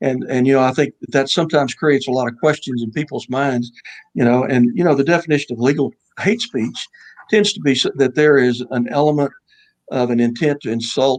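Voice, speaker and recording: Speaking fairly quickly in a Texas accent, a man with a medium-pitched voice sounds dry and close, with no echo. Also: ordinary pitch variation. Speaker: judge and author. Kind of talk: radio interview.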